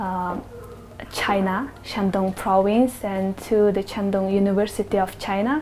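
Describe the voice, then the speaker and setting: A woman's medium-pitched voice in a Mongolian accent, with noticeable background noise. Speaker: human rights activist. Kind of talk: interview answers. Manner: halting.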